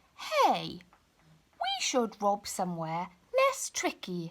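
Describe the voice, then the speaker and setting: A woman performs a put-on character voice. She speaks at a very slow pace. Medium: read story.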